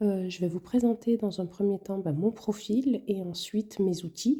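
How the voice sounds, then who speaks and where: A woman with a dark, mellow tone speaks fairly slowly, somewhat breathy, with ordinary pitch variation. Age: 40s. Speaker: budgeting vlogger. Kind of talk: casual tutorial. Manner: hesitant, many fillers.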